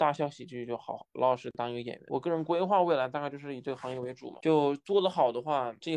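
A man rattles along at a very fast pace over a quiet background. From China, Wuhan. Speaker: stand-up comedian. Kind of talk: casual interview.

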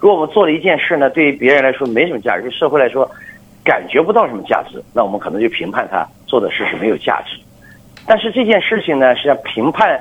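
A man speaks very fast at a fairly high pitch, his voice swinging very widely up and down over noticeable background noise. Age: 50s. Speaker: business executive. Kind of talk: radio interview. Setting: phone call.

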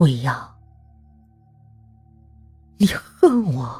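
A woman puts on a character voice at an extremely low pitch, dark and mellow in tone with a husky, rough edge, moving very slowly with big pitch swings while faint music plays in the background.

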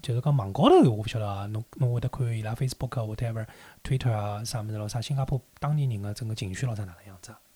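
A man talks at a very fast pace in a Shanghainese accent, his medium-pitched voice dark and mellow and somewhat breathy. His intonation stays fairly even while loudness swings widely, on a very clean recording with a silent background. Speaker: podcast host. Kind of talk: casual chat.

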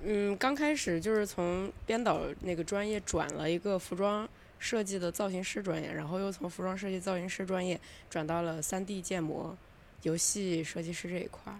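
A woman with an ordinary speaking voice talks at a moderate pace with ordinary pitch variation. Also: medium pitch for a woman. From Lanzhou, Gansu. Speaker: podcast guest. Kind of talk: casual chat.

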